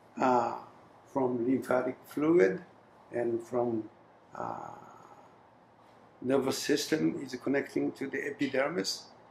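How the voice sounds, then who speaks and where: The voice moves at a very slow pace with ordinary pitch variation. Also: man. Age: 70s. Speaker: inventor and clinician. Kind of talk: interview. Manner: halting.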